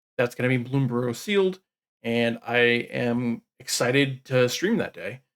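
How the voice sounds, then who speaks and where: A man talks at a medium pitch. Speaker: magic card game news host. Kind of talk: weekly news roundup.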